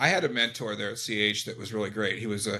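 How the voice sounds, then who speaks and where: A man talks fairly quickly at a fairly low pitch with a bright, sharp tone. His intonation is monotone and flat, in a very clean recording with a silent background. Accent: American. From Eastern Washington, US. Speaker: trucking business founder. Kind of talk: interview.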